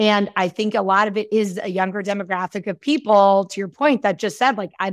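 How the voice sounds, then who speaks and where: Heard with a dry, close sound, no echo, and a silent background in a very clean recording, an unremarkable speaking voice keeps a fairly even intonation. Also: woman. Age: 30s. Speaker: beverage industry founder and CEO. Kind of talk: interview conversation.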